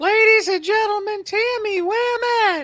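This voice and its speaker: This put-on character voice is squeaky and extremely high-pitched, delivered at a fairly slow pace. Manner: cartoonish.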